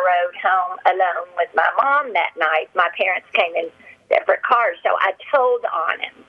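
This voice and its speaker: A woman talks fairly slowly, with noticeable background noise around her. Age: 60s. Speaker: caller. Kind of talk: personal testimony. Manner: halting.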